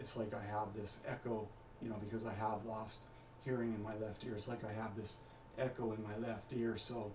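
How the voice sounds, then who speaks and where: A man mumbles at a moderate pace and medium pitch in a monotone, flat intonation. Audible room echo and noticeable background noise surround him. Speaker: vlogger practicing his speech. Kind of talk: personal video diary. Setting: recording alone at home on camera. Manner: mumbling; hesitant, many fillers.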